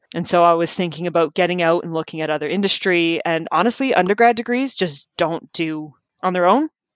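With a Canadian accent and a plain, everyday voice, a woman talks at a fairly low pitch with ordinary pitch variation and hardly any pauses. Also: fairly quick pace. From Ontario, Canada (Hamilton). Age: 30s. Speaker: wildlife biologist. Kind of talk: casual interview.

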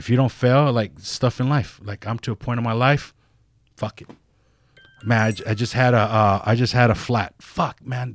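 Fairly even in intonation, a man speaks at a moderate pace and medium pitch in an unremarkable speaking voice. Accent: American. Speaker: tattoo artist. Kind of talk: casual interview chat. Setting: studio.

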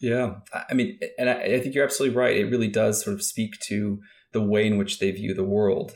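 A man with a Midwestern US accent speaks at a fairly quick pace. His pitch is medium, and his intonation is fairly even. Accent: General American, Midwestern. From Kansas, US Midwest. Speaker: former FBI agent and national security official. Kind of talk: interview. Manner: hesitant, many fillers and repeats.

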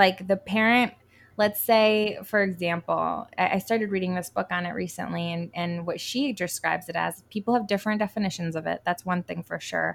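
A woman with an American accent and an unremarkable speaking voice talks at a moderate pace with medium pitch and fairly even intonation, on a very clean recording with a silent background. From Connecticut. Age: 30s. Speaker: writer and homeschooling mom. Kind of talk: interview.

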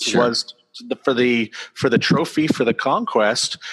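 A man with an American accent and an ordinary speaking voice talks at a moderate pace and medium pitch, with lively intonation. The sound is dry and close with no echo, and the background is quiet. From US Northeast (central Maine). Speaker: author. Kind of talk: interview. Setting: video call.

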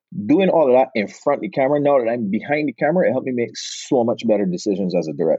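With a Barbadian accent, a man speaks at medium pitch, his voice swinging very widely up and down. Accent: Bajan (Barbados) Caribbean. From Barbados. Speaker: podcast guest, film director and actor.

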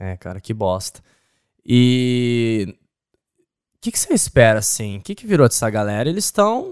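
A man speaks at a medium pitch and a fairly slow pace, with lively intonation, big swings in loudness, and long, frequent pauses, in a dry, close sound with no echo. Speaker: podcast host. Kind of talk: casual interview. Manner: animated.

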